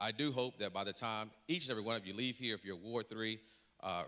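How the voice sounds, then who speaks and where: Speaking at a very fast pace, a man has a Southern US accent and a bright, sharp tone. His pitch is fairly low, with ordinary pitch variation. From North Carolina, Rocky Mount. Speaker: city council candidate. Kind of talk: candidate forum introduction.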